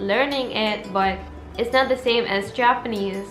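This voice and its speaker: A woman with an Arabic accent speaks at a fairly high pitch, fairly slowly and with fairly even intonation. Music plays in the background, and the room has an audible echo. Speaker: language-learning YouTuber. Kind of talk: casual vlog talk. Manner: chatty, informal.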